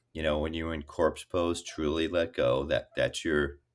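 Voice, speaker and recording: A man with an American accent speaks at a very deep, low pitch. The recording is very clean with a silent background. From New Jersey, Hudson County. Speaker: actor and former tech executive. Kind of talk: casual chat.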